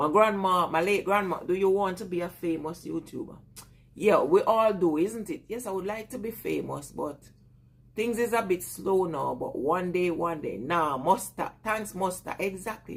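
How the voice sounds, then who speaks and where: A woman speaks at medium pitch in a Jamaican accent. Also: ordinary pitch variation, moderate pace. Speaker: vlogger. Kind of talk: casual live chat with viewers.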